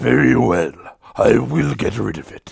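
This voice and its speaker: A man's raspy, put-on character voice, very deep and low in pitch, at a fairly slow pace. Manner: menacing, sinister.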